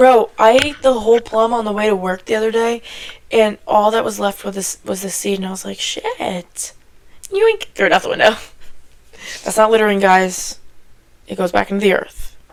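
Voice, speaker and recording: A woman's animated, fairly high voice broken by long, frequent pauses. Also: moderate pace. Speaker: podcast co-host. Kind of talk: casual chat.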